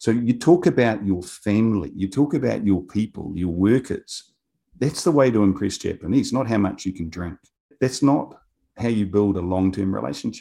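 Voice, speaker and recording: Speaking at a moderate pace in a New Zealand accent, a man uses a fairly low pitch, a dark, mellow tone and lively intonation. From New Zealand, Otago (south of Dunedin). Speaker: business executive. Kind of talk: interview.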